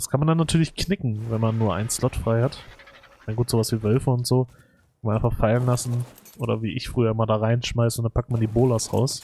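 This man has a medium pitch and a somewhat breathy voice. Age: 30s. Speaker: gaming YouTuber. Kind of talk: let's play commentary. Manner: casual, many filler words.

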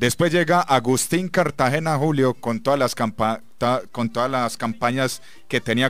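A man with a plain, everyday voice, medium pitch and moderate pace, in a dry sound with no echo. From Colombia, Medellín. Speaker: football radio commentator. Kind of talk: sports radio talk show. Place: studio.

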